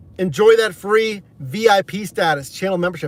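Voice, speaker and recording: American accent at a moderate pace, with noticeable background noise. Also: man. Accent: 60% New York, 40% Pittsburgh. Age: 30s. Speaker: gig delivery driver and livestreamer. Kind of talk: casual livestream chat. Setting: in a car.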